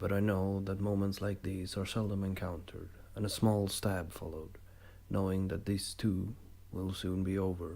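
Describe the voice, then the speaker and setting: At a moderate pace, a calm, dark, mellow voice comes through with audible room echo. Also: man. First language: not English. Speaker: amateur writer reading own stories. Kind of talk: reading aloud.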